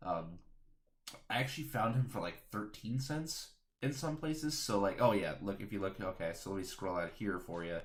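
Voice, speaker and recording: A man with a fairly low pitch speaks quietly with lively intonation, and room echo is audible. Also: moderate pace. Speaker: card game streamer. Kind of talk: live stream card discussion.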